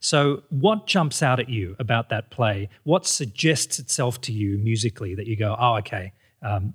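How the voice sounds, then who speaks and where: In a very clean recording with a silent background, a man speaks at a medium pitch and a moderate pace, somewhat breathy, with lively intonation. The sound is dry and close with no echo, and his loudness swings widely. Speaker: podcast host. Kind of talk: interview conversation.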